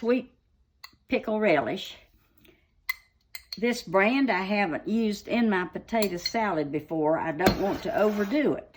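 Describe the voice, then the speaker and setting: With an Appalachian accent, a woman of medium pitch talks at a fairly slow pace, her voice making very wide pitch swings between long, frequent pauses. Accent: Southern US (Appalachian North Carolina). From North Carolina, USA. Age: old. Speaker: home cook, farmer's wife. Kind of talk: casual cooking demonstration. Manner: spunky, vibrant.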